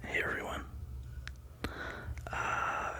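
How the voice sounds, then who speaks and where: Over noticeable background noise, a man whispers. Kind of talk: ASMR collection showcase. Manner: whispering, relaxing.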